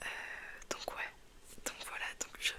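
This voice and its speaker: Whispering in a relaxed tone, a woman speaks over noticeable background noise. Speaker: ASMR content creator. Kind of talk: casual talk to camera, whispered chat. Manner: whispered, soft-spoken, relaxed.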